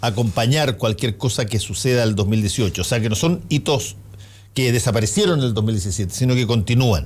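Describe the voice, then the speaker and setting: The speaker is a man with a plain, everyday voice and medium pitch. He goes at a fairly quick pace with lively intonation. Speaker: radio host. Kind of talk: radio panel discussion.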